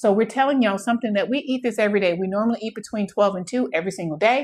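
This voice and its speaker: With an American accent, a woman speaks at a fairly high pitch with lively intonation on a very clean recording with a silent background. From Texas. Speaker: home cooking content creator. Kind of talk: live cooking demonstration. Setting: home kitchen livestream. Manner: fast; animated.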